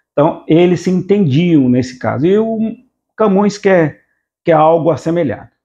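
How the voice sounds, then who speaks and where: Against a quiet background, a man with a high pitch and a dark, mellow tone speaks at a moderate pace, his pitch swinging very widely. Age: 60s. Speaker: literature teacher, retired police officer. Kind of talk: lecture. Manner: halting.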